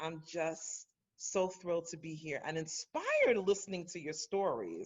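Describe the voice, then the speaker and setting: With a New York accent, a woman speaks at a fairly slow pace. Her pitch is fairly low. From Brooklyn, New York. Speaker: guest speaker on leadership. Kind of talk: casual chat.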